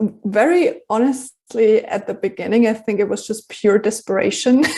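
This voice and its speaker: With a German accent, a woman speaks in a dark, mellow tone with ordinary pitch variation. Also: fairly high pitch for a woman, moderate pace. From Germany. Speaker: journalist and filmmaker. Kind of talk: interview. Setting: podcast.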